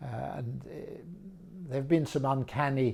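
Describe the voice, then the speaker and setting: A man with a southern English accent speaks in a dark, mellow tone, somewhat breathy, with ordinary pitch variation. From England, Brighton, with French mother. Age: 70s. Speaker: art auctioneer and specialist. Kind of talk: personal introduction talk. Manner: measured, with frequent hesitations.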